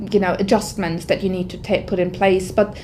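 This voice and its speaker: Background noise is noticeable throughout. A woman's voice comes through it. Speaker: IT workforce manager. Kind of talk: testimony. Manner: loud; halting.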